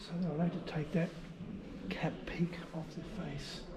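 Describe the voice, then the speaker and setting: A fairly high-pitched man with an Australian accent at a moderate pace. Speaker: travel vlogger. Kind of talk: casual walking vlog narration. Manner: casual with fillers; whispering.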